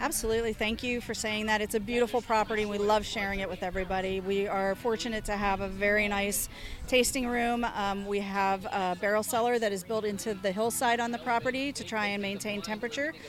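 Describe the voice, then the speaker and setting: A woman with a fairly high pitch talks at a very fast pace, with hardly any pauses. Her intonation stays fairly even, and there is noticeable background noise. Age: young. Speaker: winery owner and winemaker. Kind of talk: interview. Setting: outdoor wine festival.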